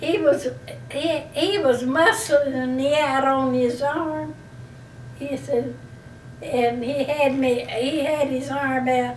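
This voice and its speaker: Over noticeable background noise, a woman with an Alabama accent talks very slowly in a high pitch with ordinary pitch variation. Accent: Southern US (Alabama). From Slocum, Alabama. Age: 80s+. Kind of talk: interview answer.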